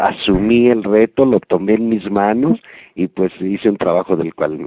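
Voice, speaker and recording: Speaking fairly slowly with a Mexican accent, a man uses a fairly low pitch. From Mexico. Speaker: voice actor. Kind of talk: interview.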